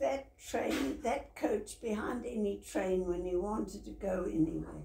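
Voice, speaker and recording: A woman at a fairly slow pace with hardly any pauses, amid noticeable background noise and audible room echo. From South Africa. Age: 90s. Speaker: retirement home resident. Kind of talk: life story interview.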